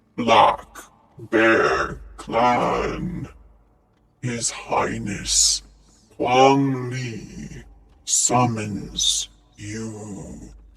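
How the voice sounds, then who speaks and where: In a put-on character voice, a man growls loud and booming at medium pitch, moving at a very slow pace with long, frequent pauses. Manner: commanding, announcing a summons.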